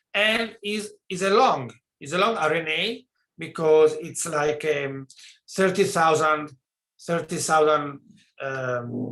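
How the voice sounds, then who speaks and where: A man's bright, sharp voice at a fairly high pitch, at a very slow pace with ordinary pitch variation. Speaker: virology researcher giving talk. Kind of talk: lecture. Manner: halting; soft-spoken. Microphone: too quiet.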